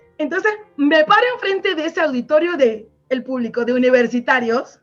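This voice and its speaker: A woman's high voice with very wide pitch swings, at a moderate pace, over background music. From Venezuela, Maracaibo. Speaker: storyteller and linguist. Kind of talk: interview with storytelling. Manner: animated.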